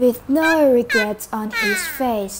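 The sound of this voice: Her intonation lively and her tone fairly bright, a woman speaks at a slow pace.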